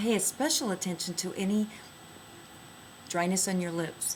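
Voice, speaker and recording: A woman speaks at a medium pitch with ordinary pitch variation. It is an ordinary speaking voice. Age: 60s. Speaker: skincare product inventor. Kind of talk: product demonstration tutorial.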